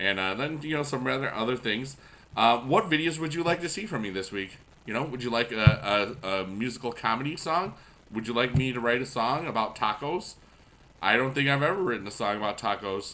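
A man's medium-pitched voice at a fairly quick pace, lively intonation, light background noise. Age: 40s. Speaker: YouTube gamer and music teacher; YouTube gamer, music teacher. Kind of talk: casual gameplay commentary. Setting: at school. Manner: animated. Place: home room.

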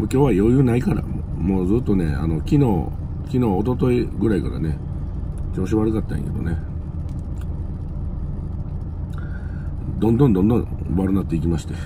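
A man talks at a moderate pace with a very deep, low pitch. Noticeable background noise can be heard. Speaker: truck driver vlogger. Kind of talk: casual vlog chat. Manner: weak, sick voice with a cold. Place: car. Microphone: phone near.

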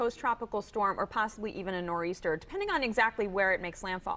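A woman races through her words very fast, with clear noise in the background. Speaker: meteorologist. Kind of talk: weather report. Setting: studio. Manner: calm, conversational and reassuring, explaining the forecast step by step; light-hearted, laughing and joking with the host.

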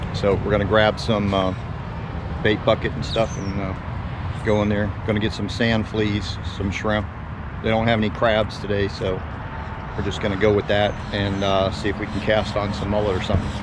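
Noticeable background noise sits under a dry sound with no echo. A man talks at a moderate pace with long, frequent pauses. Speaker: fishing vlogger. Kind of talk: casual vlog chat. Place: street. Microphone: phone near.

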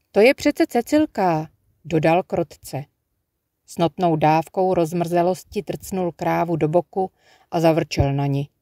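A gentle tone comes at a fairly slow pace on a very clean recording with a silent background. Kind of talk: audiobook reading aloud of a literary story. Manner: lyrical, unhurried narration with gentle pacing, hushed and dreamy in the nature passages.

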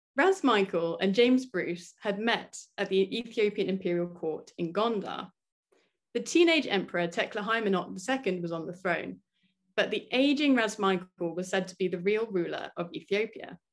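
A woman with an unremarkable speaking voice talks at a moderate pace, with medium pitch and ordinary pitch variation. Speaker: doctoral student. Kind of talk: academic presentation. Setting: video call.

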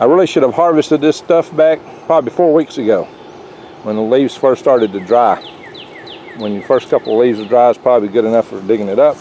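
Over light background noise, a man speaks at a fairly quick pace in a dry sound with no echo. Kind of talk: tutorial. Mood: relaxed, friendly. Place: garden. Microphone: phone near.

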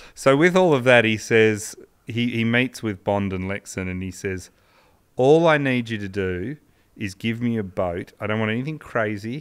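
A man with an Australian accent at a moderate pace, over a quiet background. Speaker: podcast co-host, sports history storyteller. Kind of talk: casual storytelling chat. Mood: relaxed, amused. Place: studio. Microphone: studio mic.

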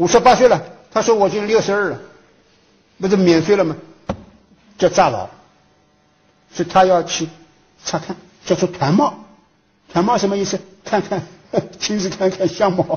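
With long, frequent pauses, a man talks in a high pitch and ordinary pitch variation. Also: moderate pace. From Hangzhou, Zhejiang, China; Zhejiang, China. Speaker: history professor. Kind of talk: lecture. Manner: formal, with frequent fillers. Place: hall.

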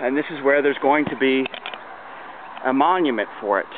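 A man at a fairly high pitch, fairly quick and fairly even in intonation, with noticeable background noise. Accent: American. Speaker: community volunteer organizer. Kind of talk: walking video narration. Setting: outdoors. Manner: casual, with fillers.

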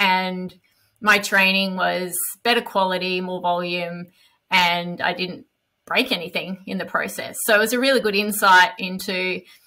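A woman's bright, sharp voice at a moderate pace against a quiet background. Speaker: podcast guest. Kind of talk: interview answer. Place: home room. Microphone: headset.

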